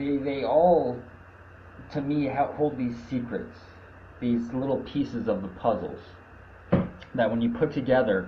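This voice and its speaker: The voice is somewhat breathy and moves at a fairly slow pace, with long, frequent pauses. Pitch varies in an ordinary way, and audible room echo surrounds it. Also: man, medium pitch for a man. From Canada. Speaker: activist livestreamer. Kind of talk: casual monologue. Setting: live video stream. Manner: stuttering.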